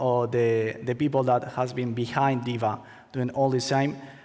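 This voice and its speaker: In a Spanish accent, a man speaks at medium pitch and a moderate pace with monotone, flat intonation. Audible room echo surrounds his voice. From Spain. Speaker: attorney, conference speaker. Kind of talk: conference talk. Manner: halting, many fillers.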